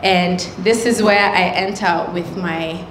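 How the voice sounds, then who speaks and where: Light background noise and audible room echo surround a woman whose pitch varies in an ordinary way. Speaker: workshop host. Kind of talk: workshop talk. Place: hall. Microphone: handheld.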